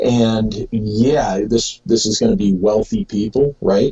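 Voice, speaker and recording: A man speaks at a fairly slow pace. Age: 50s. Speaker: author and researcher. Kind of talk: interview. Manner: halting, many fillers.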